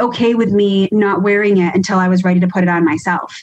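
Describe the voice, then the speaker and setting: With an American accent, a woman talks at a moderate pace in a somewhat breathy voice. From New York, US East Coast. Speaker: emergency nurse and educator. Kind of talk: podcast interview.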